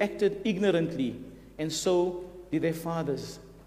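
The tone is dark and mellow, with ordinary pitch variation at a moderate pace. Room echo can be heard. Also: man. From South Africa. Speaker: visiting preacher. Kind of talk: sermon. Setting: church. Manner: hesitant, with many fillers.

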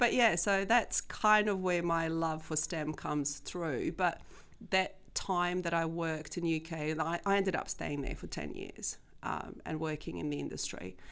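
With vocal fry and a fairly low pitch, a woman speaks at a fairly slow pace. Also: ordinary pitch variation. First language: not English. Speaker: school STEM coordinator. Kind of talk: interview. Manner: casual, laughs often.

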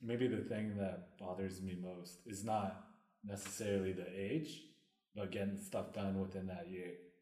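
A man's somewhat breathy, dark, mellow voice at a fairly low pitch, with a fairly slow pace, ordinary pitch variation and audible room echo. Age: 30s. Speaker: podcast co-host. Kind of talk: casual chat.

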